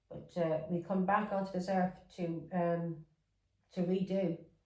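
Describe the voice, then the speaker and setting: A woman's fairly low, somewhat breathy voice with fairly even intonation. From England, with some childhood in Ireland. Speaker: tarot reader. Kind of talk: tarot reading. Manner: casual, repetitive.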